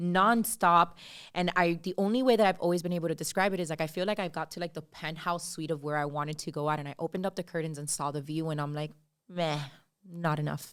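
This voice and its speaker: A woman with a Miami accent talks very fast on a very clean recording with a silent background. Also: fairly low pitch for a woman, ordinary pitch variation. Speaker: podcast co-host. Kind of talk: casual chat. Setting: podcast recording, Miami.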